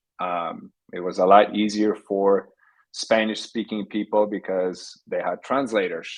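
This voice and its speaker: A man's fairly low, flat, monotone voice at a fairly slow pace against a quiet background. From Poland, Warsaw. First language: Polish. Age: 50s. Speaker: technology entrepreneur. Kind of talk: podcast interview.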